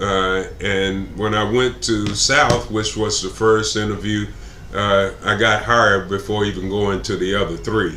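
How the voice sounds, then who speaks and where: In a Texan accent, a man with a fairly low pitch speaks at a fairly slow pace in a flat monotone, with audible room echo and noticeable background noise. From Texas (Plano). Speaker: political candidate. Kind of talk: interview. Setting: live stream. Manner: halting, many fillers.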